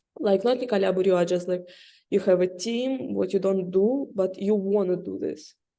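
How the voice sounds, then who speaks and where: Speaking with a non-native accent, a woman has a dark, mellow tone and ordinary pitch variation. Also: medium pitch for a woman, moderate pace. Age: young. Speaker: interviewer. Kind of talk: interview. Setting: video call. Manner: halting.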